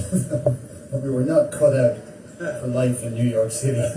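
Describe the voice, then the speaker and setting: A man with an Irish accent speaks at a fairly slow pace, with noticeable background noise and audible room echo. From Ireland. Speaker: singer-songwriter. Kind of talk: storytelling song introduction.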